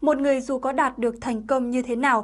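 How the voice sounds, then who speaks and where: A woman speaks in a high pitch with fairly even intonation. The background is quiet. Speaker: channel presenter. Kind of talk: scripted narration. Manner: formal. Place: studio. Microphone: lapel.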